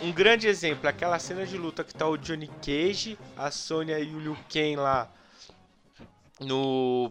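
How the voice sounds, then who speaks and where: An animated tone at a fairly slow pace, with ordinary pitch variation, big swings in loudness, long, frequent pauses and music in the background. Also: man. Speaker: podcast host. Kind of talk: casual chat.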